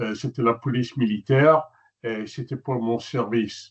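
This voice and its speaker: The man has an American accent and a medium pitch. He talks at a fairly slow pace with ordinary pitch variation. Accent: American-sounding accent in French. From Netherlands. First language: Dutch (speaking French). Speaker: journalist and photographer. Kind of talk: webinar presentation. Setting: webinar.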